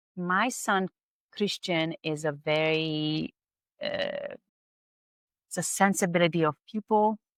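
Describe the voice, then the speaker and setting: Speaking with a Hungarian accent, a woman talks very slowly with long, frequent pauses at a fairly low pitch and ordinary pitch variation, in a dry, close sound with no echo. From Hungary. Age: 50s. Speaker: spa owner, esthetician. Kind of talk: podcast interview.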